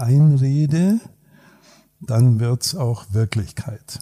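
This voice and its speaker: A man's medium-pitched voice has a dark, mellow tone and is somewhat breathy. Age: 60s. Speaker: psychologist and executive coach. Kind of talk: casual chat. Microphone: poor sound quality in first episode.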